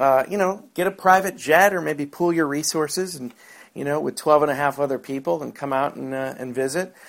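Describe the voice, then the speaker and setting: This man has an ordinary speaking voice, with a fairly high pitch, ordinary pitch variation and a moderate pace. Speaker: comedian. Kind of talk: casual comedic chat.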